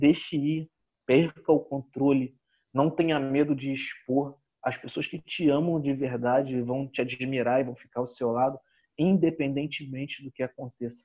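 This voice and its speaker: A man's normal speaking voice, fairly high in pitch, with fairly even intonation at a moderate pace. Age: 30s. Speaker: business consultant and coach. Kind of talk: interview. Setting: video call.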